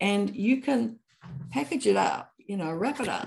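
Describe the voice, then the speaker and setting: Speaking fairly slowly in a New Zealand accent, a woman with a dark, mellow tone and vocal fry makes very wide pitch swings. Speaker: author and anthropologist. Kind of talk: casual interview chat.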